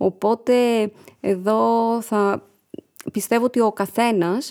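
A woman with a medium pitch and a dark, mellow tone speaks with ordinary pitch variation on a very clean recording with a silent background and a dry, close sound with no echo. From Greece, village near Missolonghi. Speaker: nonprofit founder. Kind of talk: interview.

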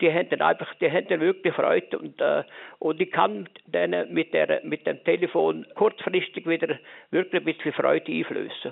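A man speaks with a Lucerne accent. His pace is moderate. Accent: Swiss German (Lucerne). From Switzerland, canton of Lucerne. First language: Swiss German (speaking German). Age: 70s. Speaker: visually and hearing impaired retiree. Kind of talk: interview. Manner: halting.

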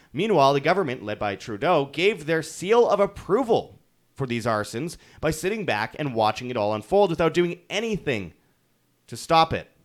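This man's voice sits fairly high and has vocal fry. His pitch swings very widely at a moderate pace. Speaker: independent online news commentator. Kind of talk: furious, profane political rant against a national leader. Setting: solo video recording for online channel. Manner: contemptuous and mocking, sarcastic asides building into shouted insults; halting with repeated stammers and filler words.

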